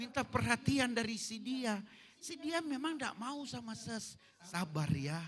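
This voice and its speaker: An animated man speaks at an extremely high pitch with very wide pitch swings. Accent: Manado. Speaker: pastor. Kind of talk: sermon. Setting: church service in hotel hall.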